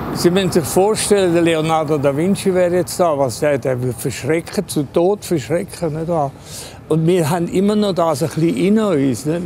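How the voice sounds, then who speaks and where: This man talks at a moderate pace in a high voice with ordinary pitch variation, and noticeable background noise comes through. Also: dry sound with no echo. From Switzerland, Engadin; Switzerland. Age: 80s+. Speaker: artist. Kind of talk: interview; interview answer. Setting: train station. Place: station.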